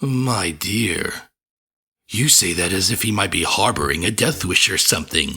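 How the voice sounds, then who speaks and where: A man speaks in a put-on character voice. His pitch is fairly low and his pace moderate. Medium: read story. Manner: genial, proud, clinically detached.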